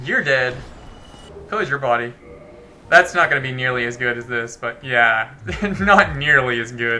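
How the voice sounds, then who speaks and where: With noticeable background noise behind him, a man talks at a moderate pace and medium pitch, using ordinary pitch variation and long, frequent pauses. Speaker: gaming video creator. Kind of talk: let's play commentary. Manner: casual, conversational.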